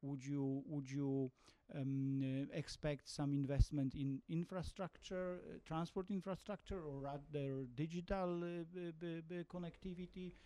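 A man with a Polish accent speaks at a fairly slow pace in a dark, mellow tone. His pitch sits fairly high and varies in an ordinary way. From Poland. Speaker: ambassador asking audience question. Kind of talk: audience question. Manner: halting, repeats words.

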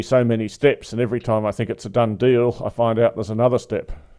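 In an Australian accent, a dark, mellow voice speaks at a fairly quick pace with monotone, flat intonation, on a very clean recording with a silent background. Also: man, hardly any pauses. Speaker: podcast host. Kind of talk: interview discussion. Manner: hesitant, filler-heavy.

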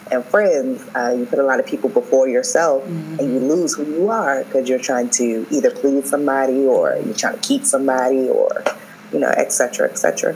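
Noticeable background noise runs under this clip. A woman speaks over it at a moderate pace. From Maryland. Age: 30s. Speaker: event planner. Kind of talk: casual chat.

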